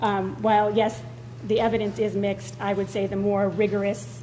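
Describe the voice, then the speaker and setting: A loud woman at medium pitch with very wide pitch swings and a moderate pace, with audible room echo and noticeable background noise. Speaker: school board member. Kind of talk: public meeting debate. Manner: hesitant, many fillers.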